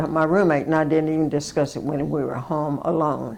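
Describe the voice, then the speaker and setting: A woman's very deep, low-pitched voice with a Southern US accent. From US South. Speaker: war veteran. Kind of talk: interview.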